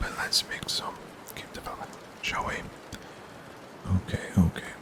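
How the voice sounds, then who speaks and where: A man whispers over noticeable background noise. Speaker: game developer. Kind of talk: ASMR game development tutorial, whispered narration. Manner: whispering, soft-spoken.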